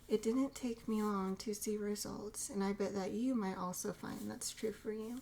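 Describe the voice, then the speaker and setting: Noticeable background noise runs under a woman's fairly high voice. She speaks at a moderate pace with fairly even intonation and hardly any pauses. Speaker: ASMR creator. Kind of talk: ASMR reading and teaching. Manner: whispered, soft-spoken.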